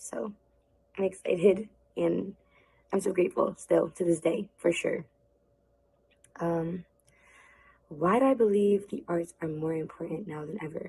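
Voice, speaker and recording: A woman's dark, mellow, somewhat breathy voice at a medium pitch, with ordinary pitch variation, a fairly slow pace, big swings in loudness and long, frequent pauses. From New Jersey, Plainfield; Puerto Rican family. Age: 20s. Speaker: dancer. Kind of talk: pre-recorded video talk. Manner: casual, filler-heavy.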